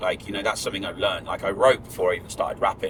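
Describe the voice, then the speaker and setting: A man speaks with an English accent. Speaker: drum and bass MC. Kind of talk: casual chat. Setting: in a car. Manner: fast.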